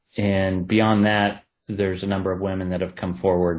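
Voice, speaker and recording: Over a quiet background, a man with an Ohio accent talks in a monotone, flat intonation. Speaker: true crime author. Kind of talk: interview.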